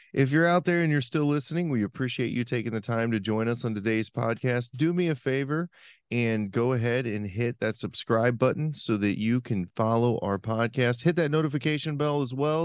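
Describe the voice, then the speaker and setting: Against a quiet background, a man speaks in a plain, everyday voice at medium pitch, with ordinary pitch variation and a fairly quick pace. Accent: American. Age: 40s. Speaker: podcast host. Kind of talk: casual interview chat.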